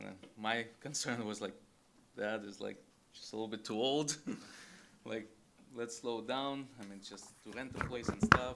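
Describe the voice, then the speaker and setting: A man with a non-native accent and a medium pitch speaks at a moderate pace, using fairly even intonation, big swings in loudness and long, frequent pauses. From abroad. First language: not English. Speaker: business owner, applicant. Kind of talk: public testimony. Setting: in-person public meeting. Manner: halting.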